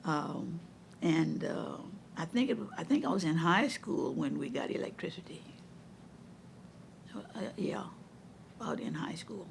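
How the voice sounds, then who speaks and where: A woman speaks in a Louisiana accent at a fairly slow pace. She leaves long, frequent pauses. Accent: Southern US, Louisiana. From Donaldsonville, Louisiana. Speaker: retired educator and counselor. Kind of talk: oral history interview answer.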